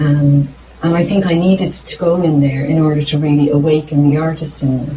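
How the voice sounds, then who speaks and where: A woman with an Irish accent speaks fairly quickly in a very deep, low voice. Her intonation is flat and monotone, and there is noticeable background noise. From Ireland. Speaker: singer-songwriter. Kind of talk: interview. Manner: halting.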